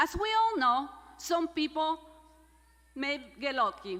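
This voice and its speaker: Projecting her voice, a woman with a Spanish accent speaks in a bright, sharp tone with very wide pitch swings. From Mexico, San Luis Potosi. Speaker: graduate student speaker. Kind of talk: commencement speech. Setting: stage with audience.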